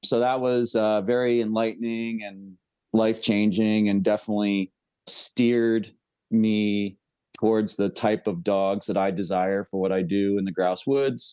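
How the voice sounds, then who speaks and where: In an American accent, a man speaks at a fairly slow pace with a fairly low pitch, a dark, mellow tone and fairly even intonation. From upstate New York (Catskills). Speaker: bird dog breeder and trainer. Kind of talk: casual interview.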